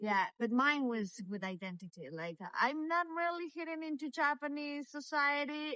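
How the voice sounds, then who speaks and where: Using a raised, projected voice, a woman with a Latin American accent and a high pitch talks at a moderate pace with very wide pitch swings and hardly any pauses. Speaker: meditation teacher. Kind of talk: casual interview chat. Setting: outdoors, walking in the street. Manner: halting, many fillers and repetitions.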